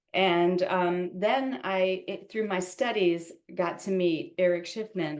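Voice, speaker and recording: A plain, everyday voice, this woman's medium pitch holds fairly even intonation at a fairly slow pace. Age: 60s. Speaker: yoga teacher and studio owner. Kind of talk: interview.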